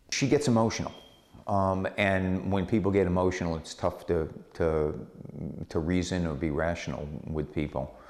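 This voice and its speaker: Very deep and low in pitch, a man talks at a moderate pace with ordinary pitch variation. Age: 60s. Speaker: property developer. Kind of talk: interview. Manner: halting, many fillers.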